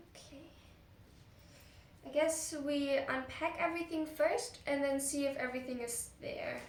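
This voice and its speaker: In a room with audible echo, a woman speaks at a high pitch, with big swings in loudness and long, frequent pauses. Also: ordinary pitch variation, fairly slow pace. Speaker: pet vlogger. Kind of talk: casual vlog talk. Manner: halting.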